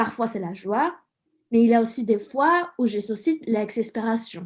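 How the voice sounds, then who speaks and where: At a fairly slow pace, a woman with a Mexican accent speaks in a dark, mellow tone at a fairly high pitch. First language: Spanish (speaking French). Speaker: student radio columnist. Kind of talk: scripted radio column.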